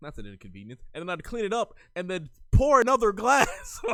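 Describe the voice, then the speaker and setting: Talking at a fairly quick pace, a man makes very wide pitch swings. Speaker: podcast co-host. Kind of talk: casual chat.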